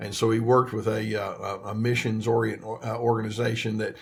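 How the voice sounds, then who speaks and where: With an American accent, a man speaks at a medium pitch and a fairly quick pace. His voice is somewhat breathy and his intonation is monotone and flat. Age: 70s. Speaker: therapist. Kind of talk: interview. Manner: halting, many fillers and repeats.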